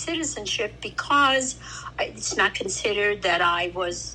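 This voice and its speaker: Talking at a moderate speed, a woman is accompanied by noticeable background noise. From Italy, then New York from age eight. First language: Italian. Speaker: grandmother and immigrant interviewee. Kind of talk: family interview, personal recollection.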